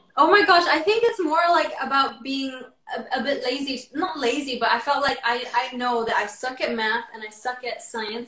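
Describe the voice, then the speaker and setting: Lively intonation, with noticeable noise in the background. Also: woman. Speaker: YouTuber. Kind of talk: casual chat.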